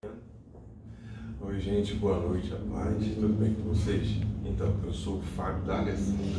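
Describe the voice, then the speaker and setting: Over noticeable background noise and audible room echo, a man speaks very slowly in a fairly low pitch with ordinary variation. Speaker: lay church devotional leader, father. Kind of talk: devotional talk. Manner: soft-spoken; hesitant, many fillers.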